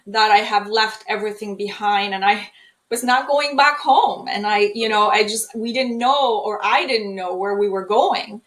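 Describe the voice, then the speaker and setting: A woman with a Polish accent talks at a moderate pace in a fairly high voice with fairly even intonation. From Poland. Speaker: trauma healing speaker. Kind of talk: interview.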